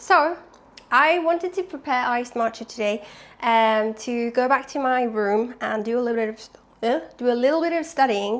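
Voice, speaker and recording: Lively intonation marks this woman's high-pitched voice. She speaks at a moderate pace with a non-native accent. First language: not English. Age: 20s. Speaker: vlogger. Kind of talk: casual vlog. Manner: chatty.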